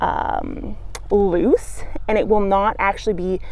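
A woman talks at a fairly slow pace, and the sound is dry with no echo. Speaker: gardening educator. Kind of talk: tutorial. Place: garden. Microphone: phone near.

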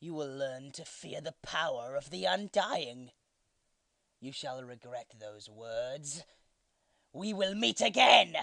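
A put-on character voice at a low-to-middle pitch moves at a fairly slow pace with long, frequent pauses. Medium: dub.

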